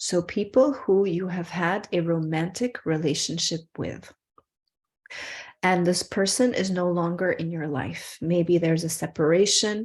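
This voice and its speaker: This woman has an unremarkable speaking voice with a fairly low pitch. She talks at a fairly slow pace against a quiet background. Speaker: spiritual workshop teacher. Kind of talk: online workshop teaching; guided breathing meditation.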